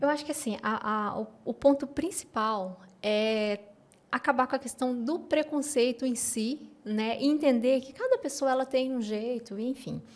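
High pitch from a woman, at a fairly slow pace. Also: ordinary pitch variation. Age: 40s. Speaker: educational neuropsychopedagogue; guest. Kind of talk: interview. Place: studio. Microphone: studio mic.

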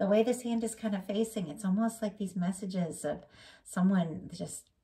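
A woman's dark, mellow, somewhat breathy voice at a moderate pace. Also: quiet background. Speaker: tarot reader. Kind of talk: tarot reading commentary. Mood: warm, gentle. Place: home room. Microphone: phone near.

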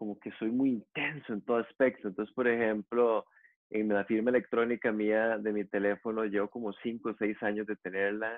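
A man talks at a moderate pace and a fairly low pitch, in a monotone, flat intonation, with a quiet background. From Costa Rica. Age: 40s. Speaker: yoga teacher; yoga teacher guest. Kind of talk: interview conversation. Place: home room. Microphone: earbuds.

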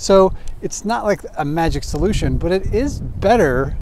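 There is noticeable background noise as a man speaks, yet the sound is dry with no echo. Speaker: cycling video host. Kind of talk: product review talk. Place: street.

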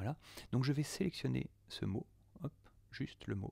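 The man's voice sounds somewhat breathy. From France. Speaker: audio producer. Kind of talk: software tutorial. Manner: hesitant, many fillers.

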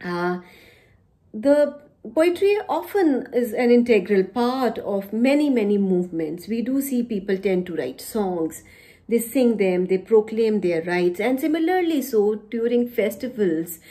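Speaking at a fairly slow pace in an Indian accent, a woman uses lively intonation, a fairly high pitch and a dark, mellow tone. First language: Punjabi. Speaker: poet and university teacher. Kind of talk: poetry reading with introductory talk. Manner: formal. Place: home room. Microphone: phone near.

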